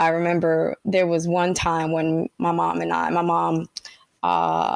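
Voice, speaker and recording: A woman with a Spanish accent speaks at a fairly slow pace, the sound dry and close with no echo. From Panama (Colon), raised in Brooklyn, New York. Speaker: tech leader. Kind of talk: interview. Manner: casual.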